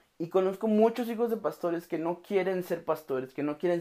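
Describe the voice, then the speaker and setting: This man speaks with a Mexican accent and ordinary pitch variation. The recording is very clean, with a silent background. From Mexico, Oaxaca. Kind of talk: devotional podcast monologue. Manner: casual, with frequent fillers.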